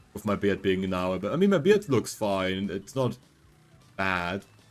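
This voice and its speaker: With music playing in the background, a man keeps up a fairly quick pace. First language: not English. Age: 20s. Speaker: vtuber streamer. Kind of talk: casual gaming livestream chat. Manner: animated.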